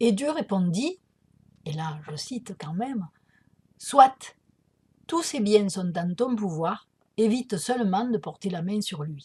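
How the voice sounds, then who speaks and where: A woman with a Provençal accent speaks at a very slow pace and medium pitch, with long, frequent pauses. Her voice is somewhat breathy, with very wide pitch swings and big swings in loudness. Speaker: spiritual healer. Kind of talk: spiritual talk to camera. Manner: conversational, with many hesitations.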